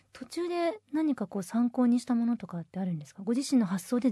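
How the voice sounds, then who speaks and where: A woman's fairly high, somewhat breathy voice with a dark, mellow tone, fairly quick pace and very wide pitch swings, in a dry, close sound with no echo. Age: 30s. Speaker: radio assistant host. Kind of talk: scripted radio announcements; casual chat.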